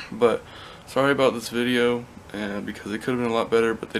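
A man talks at a fairly quick pace. Light background noise sits behind him. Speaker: vlogger. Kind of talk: casual vlog chat. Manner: drowsy, drugged, mouth stuffed with gauze. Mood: apologetic, relieved. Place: home room. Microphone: phone near.

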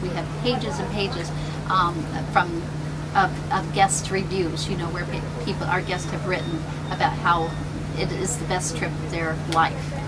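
There is loud background noise. A woman speaks through it at a moderate pace. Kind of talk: interview answer. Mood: warm, friendly. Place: boat. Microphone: camera far.

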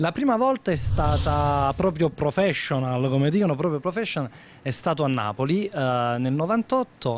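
At a moderate pace, the speaker uses lively intonation with very even loudness, in a dry sound with no echo and light background noise. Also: man. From Naples, Italy; Italy. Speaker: comedian. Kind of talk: interview. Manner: animated. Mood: upbeat, animated. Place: shop. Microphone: handheld.

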